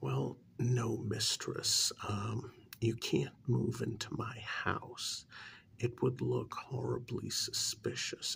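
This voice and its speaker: This soft-spoken voice moves at a very slow pace. Light background noise sits underneath. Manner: soft-spoken ASMR voice.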